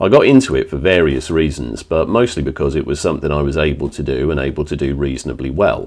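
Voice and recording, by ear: A man's extremely low, slightly mellow voice at a fast pace with ordinary pitch variation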